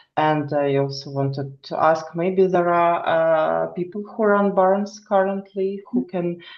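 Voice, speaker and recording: This woman speaks at a fairly slow pace with a fairly low pitch. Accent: non-native. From Ukraine. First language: not English. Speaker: equestrian student. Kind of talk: online meeting chat. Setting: video call. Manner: halting.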